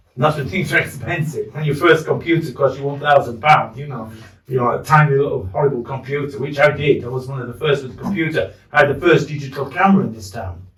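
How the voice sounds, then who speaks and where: With a Yorkshire accent, a man talks very fast at a fairly high pitch, with ordinary pitch variation and big swings in loudness. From northern England, Leeds. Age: 60s. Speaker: war veteran. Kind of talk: casual chat. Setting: in a pub.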